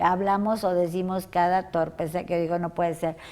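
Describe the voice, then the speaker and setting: This voice has a dark, mellow tone and moves at a moderate pace. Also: woman. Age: 60s. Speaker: interview show host. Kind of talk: interview. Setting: guest's workplace.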